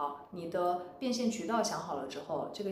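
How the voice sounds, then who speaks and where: A woman talks at a fairly low pitch with lively intonation. Noticeable background noise runs beneath her. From China, Wuhan. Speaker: former designer turned entrepreneur. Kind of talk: interview conversation.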